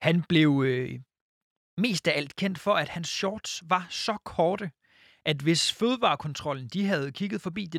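Speaking at a fairly slow pace, a man with a high pitch uses lively intonation, recorded very cleanly against a silent background with a dry, close sound and no echo. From Jutland. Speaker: podcast co-host. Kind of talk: reading aloud; casual chat.

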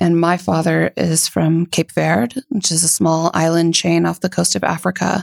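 A woman speaks at a moderate pace and a fairly low pitch, with very even loudness. The sound is dry and close, with no echo. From US Florida. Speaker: gallery founder and director. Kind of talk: casual interview chat.

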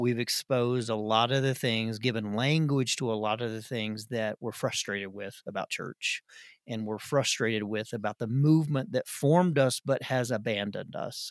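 Speaking at a moderate pace with a Southern US accent, a man uses a medium pitch and ordinary pitch variation in a very clean, dry, close recording with a silent background and no echo. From Arkansas. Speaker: podcast co-host. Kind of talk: casual chat.

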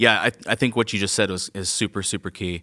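Recorded very cleanly against a silent background, a man with an American accent talks at a fairly quick pace in a bright, sharp tone, the sound dry and close with no echo. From Georgia, US South. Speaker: church worship leader. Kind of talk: interview conversation.

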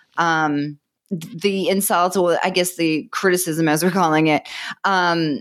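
A woman with a Boston accent. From Massachusetts, north of Boston. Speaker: author and relationship expert. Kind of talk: interview. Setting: remote call.

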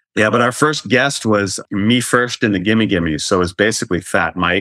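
Against a quiet background, a man with an American accent speaks at a moderate pace, fairly low in pitch with ordinary pitch variation. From North Carolina. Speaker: TV host and actor. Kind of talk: casual chat. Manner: animated.

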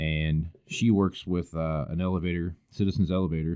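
A man with a Kansas accent speaks at a fairly slow pace in a very deep, low voice, his intonation fairly even. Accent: Midwestern American, Kansas. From Kansas, El Dorado near Wichita. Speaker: agricultural podcast host. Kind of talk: casual interview. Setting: basement home studio.

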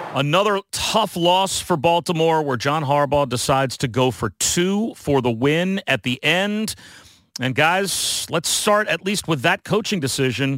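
In an ordinary speaking voice, a man talks at a fairly slow pace with a fairly high pitch and lively intonation. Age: 50s. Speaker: sportscaster and podcast host. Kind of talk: casual sports analysis chat.

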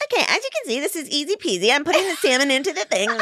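A woman's put-on character voice, high-pitched and cheerful, at a very fast pace with very wide pitch swings. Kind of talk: casual, cutesy. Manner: corny, annoying, overly cheerful.

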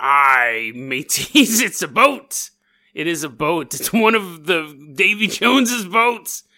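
A man puts on a character voice, raised and projected, high-pitched with very wide pitch swings. He talks at a fairly slow pace on a very clean recording with a silent background. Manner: gruff, playful.

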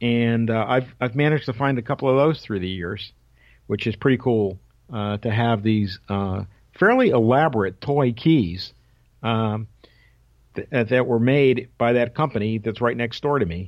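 A man with an American accent, an unremarkable speaking voice, a moderate pace and ordinary pitch variation. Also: medium pitch for a man. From Connecticut, Waterbury. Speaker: retired radio league executive and telegraph key collector. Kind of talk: radio interview.

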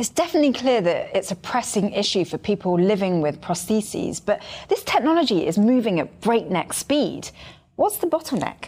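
A woman's fairly high, dark and mellow voice with very wide pitch swings at a moderate pace. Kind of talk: scripted podcast banter and interview.

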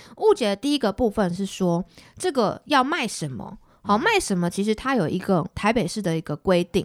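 A woman with a plain, everyday voice talks at medium pitch and a fairly quick pace. Her intonation is lively, and the sound is dry and close with no echo. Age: 20s. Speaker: city councillor. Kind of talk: interview.

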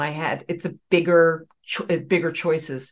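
Against a quiet background, a woman with an American accent speaks at a fairly low pitch. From US South, Raleigh, North Carolina. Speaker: Broadway actress. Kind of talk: casual chat.

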